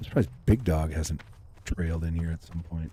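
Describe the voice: Quietly and at a moderate pace, a man speaks with an extremely low pitch, fairly even intonation and a dark, mellow tone.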